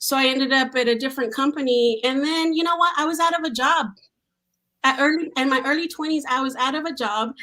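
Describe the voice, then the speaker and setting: A woman projects her high voice loudly, her tone animated, bright and sharp, with ordinary pitch variation. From Mexico. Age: 40s. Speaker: tech professional. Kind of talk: podcast interview.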